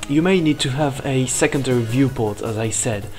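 With music in the background, a man with a non-native accent speaks with ordinary pitch variation. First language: not English. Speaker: animation software tutorial maker. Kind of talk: software tutorial narration. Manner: loud.

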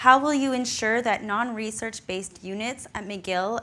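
A woman speaks at a moderate pace and a fairly high pitch, with ordinary pitch variation. Her tone is bright and sharp. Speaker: student event moderator. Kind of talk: moderating a Q&A. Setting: auditorium with audience, webcast. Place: hall. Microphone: podium.

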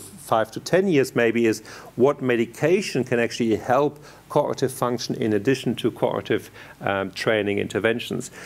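A man at a moderate pace, pitch moving in an ordinary way. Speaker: conference speaker. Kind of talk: lecture. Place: hall.

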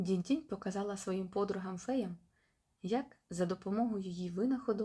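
Quiet background, ordinary pitch variation, and reading aloud in a natural voice

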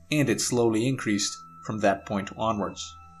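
Music plays in the background as a man speaks with fairly even intonation. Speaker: science channel narrator. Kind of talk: educational narration.

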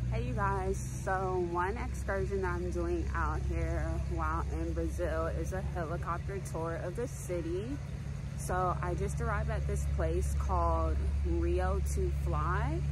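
At a fairly slow pace, a woman talks over loud background noise, the sound dry with no echo. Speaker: travel vlogger. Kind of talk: casual vlog chat. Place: street. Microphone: phone near.

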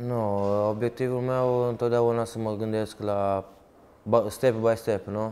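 Fairly low in pitch, this man's voice has a dark, mellow tone and a monotone, flat intonation. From Italy (Turin), born in Romanian Moldavia. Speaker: footballer. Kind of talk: interview. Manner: halting, repeats words. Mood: calm, sincere. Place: studio. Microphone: lapel.

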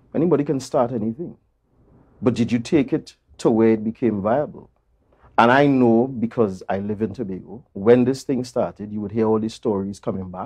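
The speech moves at a fairly quick pace with ordinary pitch variation. The background is quiet. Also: man. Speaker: interview guest. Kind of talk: interview answer. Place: studio. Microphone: lapel.

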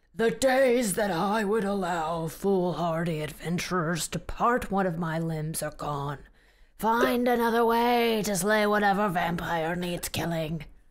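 Using a put-on character voice at a middle pitch, the speaker goes at a fairly slow pace. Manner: booming, commanding.

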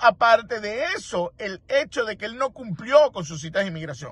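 Heard in a dry sound with no echo, a man speaks at a moderate pace with lively intonation. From Venezuela. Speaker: immigration lawyer. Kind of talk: interview commentary; commentary. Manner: halting, with fillers.

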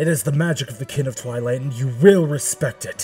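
In a put-on character voice, a man speaks at a fairly quick pace and medium pitch. Faint music plays in the background. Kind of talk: character audition. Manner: menacing, haughty.

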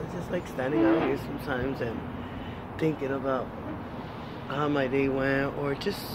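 A woman speaks at a moderate pace with a dry sound and no echo. Loud background noise runs behind her. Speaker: vlogger. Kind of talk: casual vlog chat. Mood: calm, relaxed. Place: street. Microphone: phone near.

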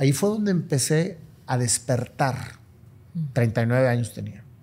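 A man speaks with a dark, mellow tone, somewhat breathy, with ordinary pitch variation. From Monterrey, northern Mexico; Mexico. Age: 50s. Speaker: businessman and motivational speaker; motivational speaker. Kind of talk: interview conversation. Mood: reflective, earnest. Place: home room. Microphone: studio mic.

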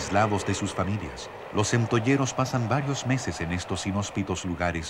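A man speaks in a solemn tone at a moderate pace with ordinary pitch variation. Noticeable background noise is present. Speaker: documentary narrator. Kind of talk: nature/history documentary narration, scripted. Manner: measured, solemn, steady, formal.

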